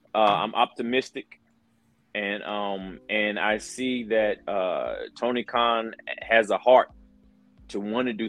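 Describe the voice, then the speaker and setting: With music in the background, a man talks in a fairly even intonation. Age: 40s. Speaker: pro wrestler and color commentator. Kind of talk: interview.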